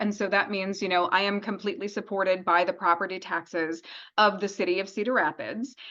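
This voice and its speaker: With a quiet background, a woman talks at a fairly quick pace. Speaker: library director. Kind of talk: webinar presentation. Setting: video call. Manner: animated.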